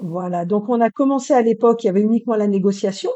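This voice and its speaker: The woman has an ordinary speaking voice, fairly high in pitch, with fairly even intonation. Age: 50s. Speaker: real estate rental manager. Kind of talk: casual interview.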